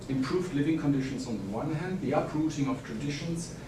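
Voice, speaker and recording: A man with a German accent speaks at a very fast pace in a fairly high voice. Audible room echo and noticeable background noise fill the recording. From Germany. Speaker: historian. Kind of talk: conference talk. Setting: conference panel with audience.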